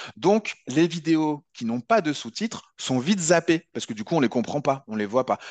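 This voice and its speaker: A man talks with lively intonation and a fairly high pitch, hardly pausing, in a dry, close sound with no echo and a quiet background. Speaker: video editing trainer. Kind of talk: webinar tutorial. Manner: fast; halting.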